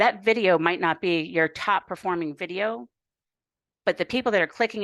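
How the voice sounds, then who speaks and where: A woman with a plain, everyday voice speaks at a fairly quick pace and a fairly low pitch. The sound is dry and close with no echo, over a quiet background. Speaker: YouTube coaching instructor. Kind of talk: workshop lecture.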